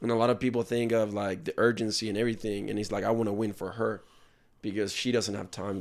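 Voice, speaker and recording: Very fast and fairly low in pitch, a man talks on a very clean recording with a silent background. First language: not English. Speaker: podcast host. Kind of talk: casual interview. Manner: animated.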